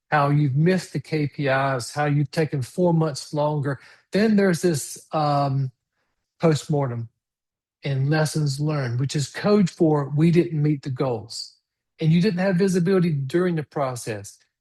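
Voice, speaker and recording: Against a quiet background, a man speaks at a fairly slow pace in a fairly high, somewhat breathy voice with ordinary pitch variation. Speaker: webinar presenter on smart streetlighting software. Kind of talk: webinar presentation. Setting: online webinar on Zoom.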